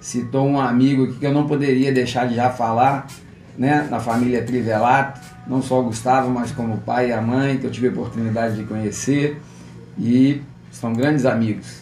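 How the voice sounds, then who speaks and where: Over music in the background, a man speaks at medium pitch and a moderate pace in a monotone, flat delivery, with audible room echo. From Petrópolis, Rio de Janeiro state, Brazil (born in Cataguases, Minas Gerais). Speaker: physical education teacher and gym manager. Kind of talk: interview.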